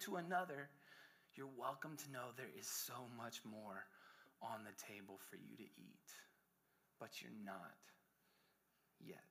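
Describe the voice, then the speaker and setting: Very wide pitch swings and vocal fry mark a man's bright, sharp, animated voice as he speaks at a fairly slow pace. Room echo is audible. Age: 30s. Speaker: pastor. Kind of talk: sermon.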